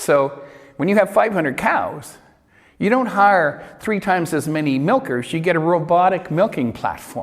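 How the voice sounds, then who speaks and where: With a Canadian accent, a man speaks at a moderate pace in a high pitch with lively intonation. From Canada, Vancouver Island. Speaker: lecturer. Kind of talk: lecture. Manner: conversational.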